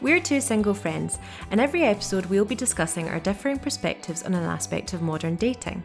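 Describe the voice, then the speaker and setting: With music in the background, a woman talks at a very fast pace. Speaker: podcast co-host. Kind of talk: casual podcast conversation.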